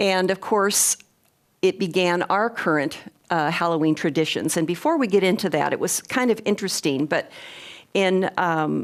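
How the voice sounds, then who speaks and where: With an ordinary speaking voice, a woman talks at a moderate pace and medium pitch with ordinary pitch variation and very even loudness, on a very clean recording with a silent background. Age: 60s. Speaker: lecturer on clairvoyance. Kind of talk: lecture.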